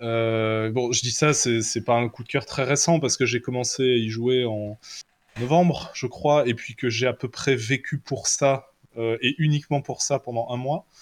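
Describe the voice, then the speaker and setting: In a normal speaking voice, a man at a medium pitch speaks at a fairly slow pace with fairly even intonation, the sound dry and close with no echo on a very clean recording with a silent background. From Belgium. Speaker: tabletop role-playing game designer. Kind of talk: casual chat.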